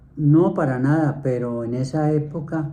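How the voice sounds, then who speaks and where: A man speaks in a dark, mellow tone. Audible room echo surrounds his voice. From Colombia, Bogotá. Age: 70s. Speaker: grandfather interviewee. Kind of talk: interview.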